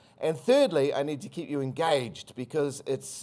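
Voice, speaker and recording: In a New Zealand accent, a man speaks at a moderate pace with lively intonation, on a very clean recording with a silent background. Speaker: country brand agency chief executive. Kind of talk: conference presentation. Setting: stage with audience.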